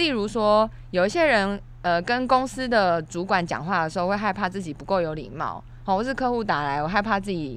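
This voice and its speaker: With a plain, everyday voice, a woman talks fairly quickly at a medium pitch, her intonation lively. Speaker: podcast co-host. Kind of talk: casual chat. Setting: studio.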